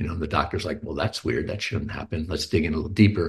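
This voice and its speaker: A man speaks with an American accent. His voice is somewhat breathy, with ordinary pitch variation. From Texas (Houston). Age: 50s. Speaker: writer and musician, cancer patient advocate. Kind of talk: interview conversation. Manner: hesitant, many fillers.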